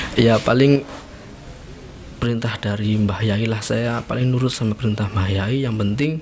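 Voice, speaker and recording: Moderate pace and ordinary pitch variation from a man at medium pitch, with noticeable background noise. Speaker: former pesantren student. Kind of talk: casual interview. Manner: animated storytelling.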